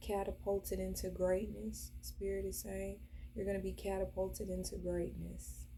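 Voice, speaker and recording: A woman speaks in a calm tone at a moderate pace. Noticeable background noise and audible room echo surround her voice. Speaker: spiritual reader. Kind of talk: channelled spiritual message. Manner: casual with fillers.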